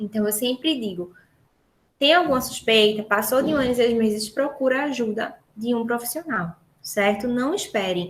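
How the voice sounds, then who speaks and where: In an animated tone, a woman talks at a moderate pace with a fairly high pitch. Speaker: speech therapist. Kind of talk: lecture.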